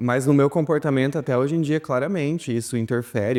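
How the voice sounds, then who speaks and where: A man's voice has a dark, mellow tone. He keeps a moderate pace with ordinary pitch variation. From interior of Paraná, Brazil. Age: young. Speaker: documentary interviewee. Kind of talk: testimony. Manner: halting.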